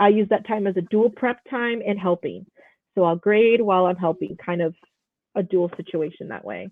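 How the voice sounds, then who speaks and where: A woman talks at a moderate pace with medium pitch. She has an unremarkable speaking voice. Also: fairly even intonation. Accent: American. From Chicago, northwest side. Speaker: high school teacher. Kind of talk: casual interview chat.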